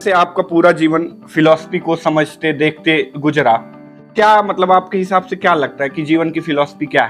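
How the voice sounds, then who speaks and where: Music plays behind a man. His high voice shows ordinary pitch variation. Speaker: podcast host. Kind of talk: interview questions.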